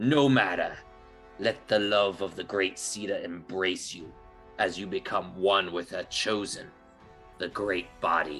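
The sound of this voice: Over faint background music, a man puts on a character voice, fairly low in pitch and fairly slow in pace.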